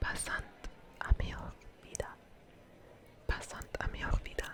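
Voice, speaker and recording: A woman is whispering. Noticeable background noise runs beneath her. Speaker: ASMR creator. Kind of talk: ASMR whispered tour narration. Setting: outdoors. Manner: whispered.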